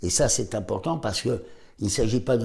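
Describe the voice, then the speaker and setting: A man's dark, mellow, somewhat breathy voice at medium pitch, moderately paced, with lively intonation. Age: 70s. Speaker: doctor. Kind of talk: health advice talk to camera.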